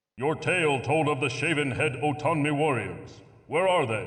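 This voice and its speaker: Against an audible echo, a man puts on a character voice at a fairly high pitch, with ordinary pitch variation, very even loudness and a moderate pace. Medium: video game. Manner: authoritative, stern.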